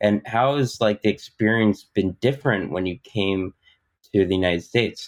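A man with a plain, everyday voice speaks at a moderate pace and a fairly low pitch. His pitch variation is ordinary, and the sound is dry and close with no echo. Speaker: podcast co-host. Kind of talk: interview.

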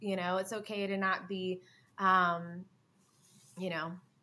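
Here a woman with an American accent speaks at medium pitch and a moderate pace. Her tone is bright and sharp, with monotone, flat intonation. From US South, Hilton Head Island, South Carolina. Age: 20s. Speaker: rock musician. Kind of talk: interview.

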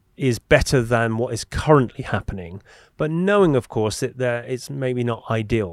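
In an English accent, a man speaks at a medium pitch with ordinary pitch variation. The recording is very clean with a silent background and a dry, close sound with no echo. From England. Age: 40s. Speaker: podcast host. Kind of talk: interview conversation. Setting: studio.

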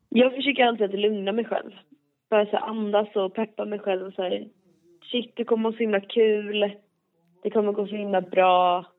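A woman talks at medium pitch and a moderate pace with monotone, flat intonation. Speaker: debut singer. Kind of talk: interview. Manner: halting.

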